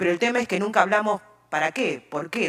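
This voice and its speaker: A woman speaks with an Argentine accent. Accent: Argentine Spanish (Rioplatense). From Argentina. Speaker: open data expert. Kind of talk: conference talk.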